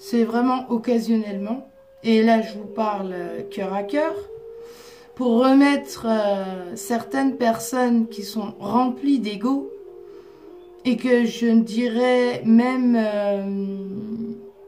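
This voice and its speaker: Music plays in the background as a woman with a fairly high voice speaks very slowly, with long, frequent pauses and audible room echo. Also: fairly even intonation. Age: 30s. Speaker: psychic and oracle card reader. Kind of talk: casual monologue to viewers. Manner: authoritative.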